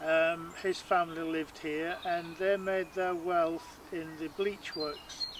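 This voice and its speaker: Over noticeable background noise, a man speaks very slowly in a high pitch with a monotone, flat intonation. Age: 60s. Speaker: wildlife photographer. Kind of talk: documentary interview. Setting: outdoors in gardens. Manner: hesitant, many fillers.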